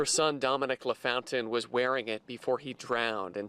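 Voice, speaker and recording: The man's medium-pitched voice has a dry, close sound with no echo, though background noise is noticeable. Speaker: TV news anchor and reporter. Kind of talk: TV news anchor and reporter delivery.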